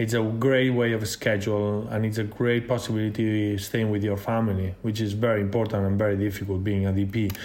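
Fairly quick and monotone, a man with a fairly low pitch keeps his flat delivery at a very even loudness. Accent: Spanish. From Spain. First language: Spanish or Catalan. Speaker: cinematographer. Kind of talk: interview.

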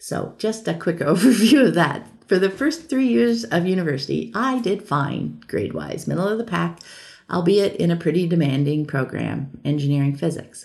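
A woman speaks at a moderate pace in a fairly low voice with vocal fry. Her pitch swings very widely. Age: 50s. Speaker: podcast host and online creator. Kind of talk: monologue audio update.

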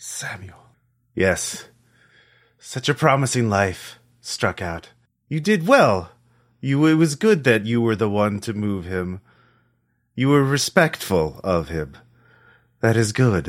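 A man's put-on, guttural character voice at medium pitch, fairly slow with long, frequent pauses, on a very clean recording with a silent background. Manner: solemn, approving.

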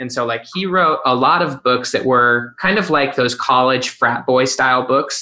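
The speaker is a man with a normal speaking voice at a medium pitch. He moves at a fairly quick pace. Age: 30s. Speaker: author. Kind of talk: casual chat.

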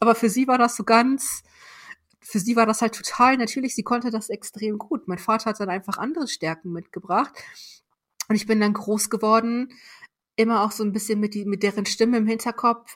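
Woman's somewhat breathy voice, fairly high pitched, at a fairly quick pace with fairly even intonation, on a very clean recording with a silent background. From northern Germany, Weserbergland countryside. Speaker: corporate learning executive. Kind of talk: interview.

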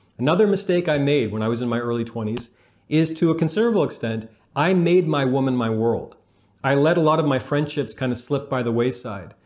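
A man talks in a normal speaking voice with fairly high pitch, lively intonation and a fairly quick pace. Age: 30s. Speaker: relationship coach and YouTuber. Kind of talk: video monologue giving advice.

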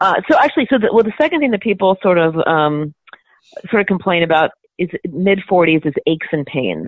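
A woman talks at a fairly quick pace in an ordinary speaking voice of medium pitch. Her intonation is lively. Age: 50s. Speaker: physician and anti-aging author. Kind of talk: interview.

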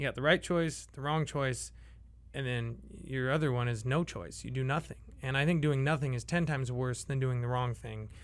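This man has an unremarkable speaking voice at medium pitch. He keeps a moderate pace and fairly even intonation. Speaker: brewery owner. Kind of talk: casual chat. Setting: studio.

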